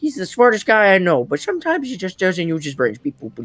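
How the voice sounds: What you hear is a natural reading voice.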